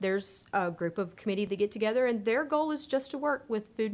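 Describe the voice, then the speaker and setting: Lively in intonation, a woman with an American accent speaks at a medium pitch in an ordinary speaking voice. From Texas. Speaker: youth development extension agent. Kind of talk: casual panel chat.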